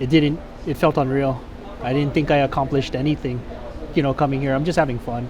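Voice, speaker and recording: A man's fairly high voice, monotone and flat, at a very fast pace with long, frequent pauses, plus audible room echo and noticeable background noise. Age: 30s. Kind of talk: casual interview.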